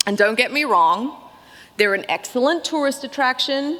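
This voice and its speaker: The intonation is lively. Noticeable background noise runs behind the voice. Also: woman. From Australia (Melbourne). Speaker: keynote speaker, barbecue writer. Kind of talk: keynote speech.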